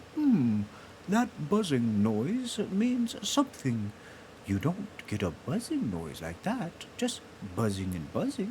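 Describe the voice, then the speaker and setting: A man's put-on character voice, fairly high in pitch and fairly slow, over clear background noise. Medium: read story. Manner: slow, humming and musing.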